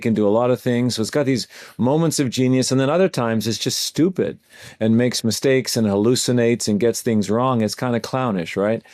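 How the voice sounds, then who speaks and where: The recording is very clean, with a silent background. A man talks very fast at a medium pitch. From Canada. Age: 60s. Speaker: AI training company founder. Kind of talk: podcast interview.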